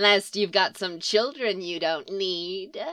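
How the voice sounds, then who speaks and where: A female-sounding voice puts on a character voice at a medium pitch and a fairly slow pace. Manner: menacing, baring teeth.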